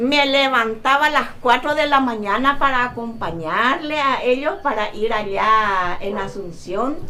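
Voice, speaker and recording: With hardly any pauses, a woman speaks at a fairly slow pace in a high pitch and lively intonation, amid noticeable background noise and audible room echo. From Paraguay, Tebicuary. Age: 60s. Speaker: seamstress. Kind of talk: casual interview. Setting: her home workshop.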